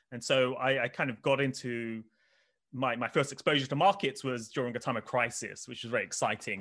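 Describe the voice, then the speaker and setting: Against a quiet background, a man with a southern English accent speaks at a medium pitch in a bright, sharp tone. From England, Oxford. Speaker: finance researcher. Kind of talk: interview.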